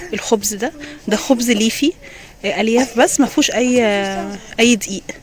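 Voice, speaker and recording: Over noticeable background noise, a woman with a fairly high pitch speaks at a moderate pace with ordinary pitch variation. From Egypt, Alexandria. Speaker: vlogger. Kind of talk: vlog walkthrough. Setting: outdoors and supermarket. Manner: casual, with frequent hesitations.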